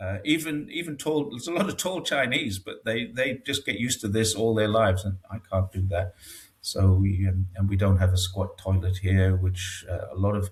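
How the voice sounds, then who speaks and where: Noticeable background noise sits behind a man talking at a moderate pace. His pitch is fairly low. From northeast England, Newcastle area. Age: 60s. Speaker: expat commentator on China. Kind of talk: casual interview. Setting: home studio, video call. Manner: hesitant, with many fillers.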